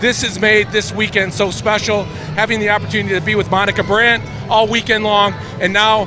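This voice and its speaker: A man's raised, projected voice, high-pitched and at a fairly quick pace, with music in the background. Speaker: podcast host. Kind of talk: casual interview. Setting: expo floor. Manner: stumbling.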